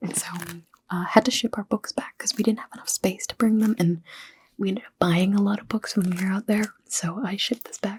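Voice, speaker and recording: A soft-spoken woman at a fairly high pitch and fairly quick pace, with ordinary pitch variation and a dry, close sound with no echo. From Toronto, Canada. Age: young. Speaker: writer. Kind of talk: ASMR casual talk to camera.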